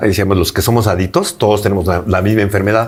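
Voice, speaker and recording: Very fast speech over noticeable background noise. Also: man. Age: 60s. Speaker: interviewee recovering from addiction. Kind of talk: interview testimony. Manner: halting, with repetitions.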